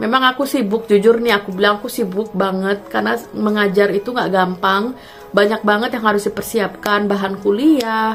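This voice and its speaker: Music plays in the background as the speaker talks at a moderate pace with fairly even intonation. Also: woman. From Jakarta, Indonesia (Kemayoran). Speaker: vlogger and university lecturer. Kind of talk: casual vlog talk to viewers. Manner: halting, many fillers.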